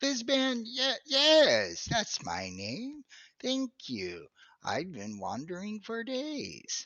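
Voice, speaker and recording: Using a put-on character voice at an extremely high pitch, a man speaks at a very slow pace. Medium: actual play. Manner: rambling, absent-minded.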